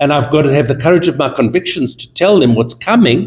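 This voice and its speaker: A somewhat breathy voice with lively intonation at a moderate pace. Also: man. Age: 70s. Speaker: fashion buyer and judge. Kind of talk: panel interview.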